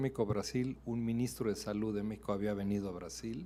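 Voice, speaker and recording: At a moderate pace, a man speaks. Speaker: ambassador, diplomat. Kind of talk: answering questions after a lecture. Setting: university auditorium.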